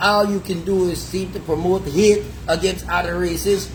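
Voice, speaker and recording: A man with an American accent speaks at a high pitch in an animated tone. Audible room echo and noticeable background noise are present. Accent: sounds American to locals. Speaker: live stream host. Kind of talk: heated debate.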